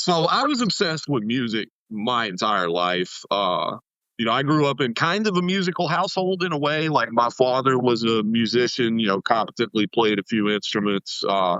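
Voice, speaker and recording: With a slight Southern US accent, a man speaks at a moderate pace and medium pitch, his voice making very wide pitch swings. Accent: slight Southern twang. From US South, East Tennessee. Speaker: music producer. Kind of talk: podcast interview. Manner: casual, filler-heavy.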